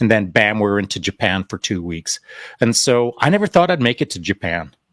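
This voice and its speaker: An unremarkable speaking voice from a man with a Canadian accent, fairly low in pitch, at a fairly quick pace, with a dry, close sound and no echo. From Canada (Alberta), born in England. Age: 60s. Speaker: retired special forces sniper. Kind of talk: interview conversation. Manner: casual, many fillers and repeats.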